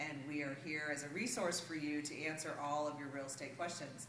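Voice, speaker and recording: Fairly quick speech with audible room echo and light background noise. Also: woman. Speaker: real estate agent. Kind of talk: promotional market update video. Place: meeting room. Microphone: camera far.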